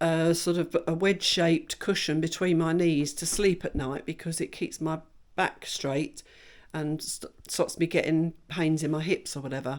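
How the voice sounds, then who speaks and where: In an English accent, a woman speaks at a moderate pace with fairly low pitch and fairly even intonation, on a very clean recording with a silent background. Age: 60s. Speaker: vlogger. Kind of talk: casual vlog talk.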